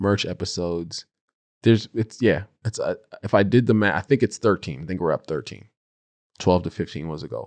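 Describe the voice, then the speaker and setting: Against a quiet background, a man with a fairly low pitch and ordinary pitch variation talks at a fairly quick pace but leaves long, frequent pauses, all in a dry, close sound with no echo. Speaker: podcast host and speaking coach. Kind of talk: casual solo podcast monologue. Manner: loud; animated.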